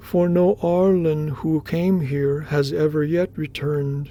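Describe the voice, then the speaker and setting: In a put-on character voice, a man talks at a fairly slow pace with a fairly high pitch, fairly even intonation and very even loudness. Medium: read story. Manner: earnest, questioning.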